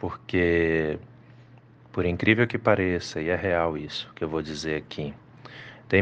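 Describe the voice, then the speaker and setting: A man speaks in a very deep, low voice. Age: 40s. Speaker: pastor. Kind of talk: devotional reflection.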